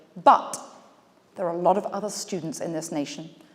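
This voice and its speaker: At a very fast pace, a woman with an English accent talks in a fairly low pitch with ordinary pitch variation. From England. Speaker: business speaker. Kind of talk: keynote speech. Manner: animated.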